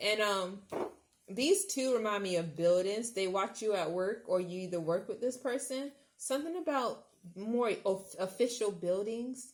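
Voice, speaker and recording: This woman has a slight Southern US accent and a fairly high pitch. She talks at a fairly slow pace with an animated tone and lively intonation. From US South. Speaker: tarot reader. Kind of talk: pick-a-card tarot reading. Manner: animated, exclamatory; halting, many fillers.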